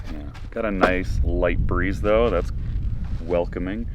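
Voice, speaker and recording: There is audible room echo as a man speaks at a moderate pace. His intonation is lively. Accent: American. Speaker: travel and camping vlogger. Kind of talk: casual vlog narration. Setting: outdoors at a campground.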